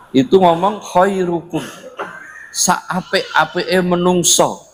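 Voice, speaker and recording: This is a man speaking. His pitch is high. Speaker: Islamic preacher. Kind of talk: religious lecture. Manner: loud; casual, code-switching.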